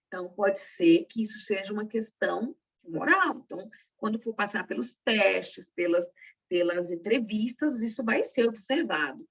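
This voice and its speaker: Using a normal speaking voice, a woman talks at a fairly high pitch and a fairly slow pace with lively intonation. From Brazil, northeastern family. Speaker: secretarial workshop instructor and teacher. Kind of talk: workshop lecture.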